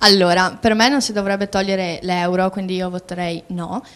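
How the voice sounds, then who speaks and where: Keeping fairly even intonation, a woman with an ordinary speaking voice talks at medium pitch and a moderate pace. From Albania. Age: young. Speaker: student on youth TV panel. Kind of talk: TV panel discussion.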